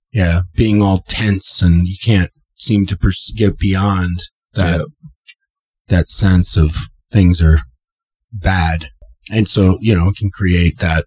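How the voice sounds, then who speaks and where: Very slowly, a man speaks with a very deep, low pitch and a somewhat breathy voice, leaving long, frequent pauses. His intonation is fairly even, and the sound is dry and close with no echo. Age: 30s. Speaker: podcast co-host. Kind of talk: casual chat.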